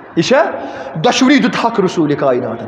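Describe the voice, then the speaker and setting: Faint music plays in the background amid audible room echo. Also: man. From Kashmir. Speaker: Islamic preacher. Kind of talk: sermon. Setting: mosque. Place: home room. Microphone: headset.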